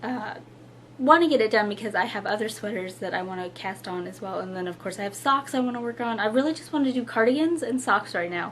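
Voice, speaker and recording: This woman, fairly high in pitch with ordinary pitch variation, talks at a fairly quick pace against noticeable background noise. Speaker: knitting podcaster. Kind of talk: casual chat. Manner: relaxed, hesitant with fillers.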